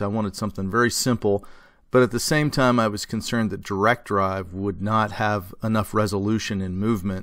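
Over a quiet background, a man talks in a fairly low voice with fairly even intonation. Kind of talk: tutorial. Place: workshop.

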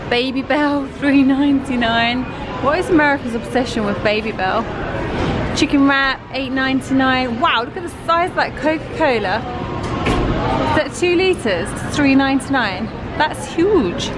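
A woman talks at a fairly slow pace. Clear music can be heard behind her. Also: ordinary pitch variation. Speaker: tourist vlogger. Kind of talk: casual vlog commentary. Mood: amused, light. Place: cafe. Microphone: phone near.

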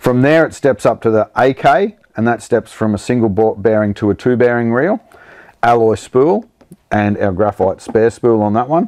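This man has a medium pitch and a slightly mellow tone. He talks at a moderate pace with lively intonation.

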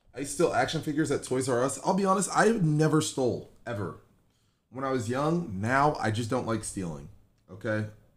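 Somewhat breathy, a man talks at a moderate pace in an animated tone. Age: 20s. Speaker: gaming livestreamer. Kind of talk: casual livestream chat. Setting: live stream at home. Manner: animated, joking. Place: home room.

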